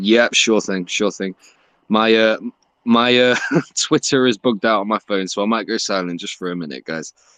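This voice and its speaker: A man's fairly low voice in an English accent, with ordinary pitch variation, a moderate pace, and a dry, close sound with no echo over a quiet background. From England. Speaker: crypto Twitter Spaces host. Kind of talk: casual chat. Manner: animated.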